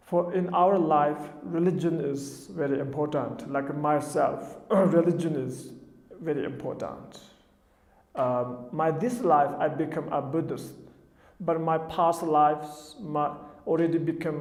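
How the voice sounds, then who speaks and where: With a Tibetan accent, a man talks at a fairly slow pace in a fairly high pitch, his intonation showing ordinary variation as audible room echo surrounds him. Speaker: Buddhist teacher. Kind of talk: dharma talk. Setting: television studio. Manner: halting.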